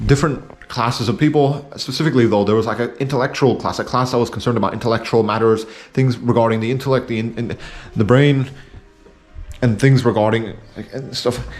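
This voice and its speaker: Over music in the background, a man mumbles at a very fast pace, his medium-pitched voice held to fairly even intonation. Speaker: video essayist. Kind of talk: casual monologue. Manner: mumbling; halting, many fillers.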